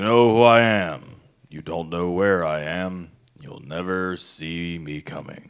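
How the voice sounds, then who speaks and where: A man puts on a character voice, pitching it very deep and low and speaking fairly slowly. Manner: menacing, threatening.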